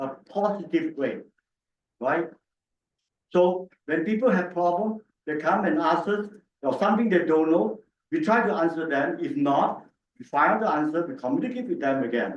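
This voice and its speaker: A loud, high male voice with very wide pitch swings, at a moderate pace broken by long, frequent pauses. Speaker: city councillor. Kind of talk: council debate.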